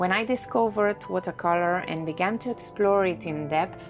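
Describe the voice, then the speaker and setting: A woman with a Spanish accent at a fairly slow pace, music in the background. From Barcelona, Spain. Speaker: watercolor artist. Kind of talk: reflective narration over painting video.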